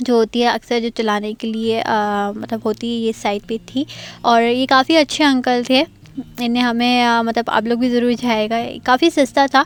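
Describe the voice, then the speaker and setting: A woman speaks at a high pitch in a monotone, flat way, with a dry, close sound and no echo. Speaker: vlogger. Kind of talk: travel vlog narration. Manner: hesitant, many fillers.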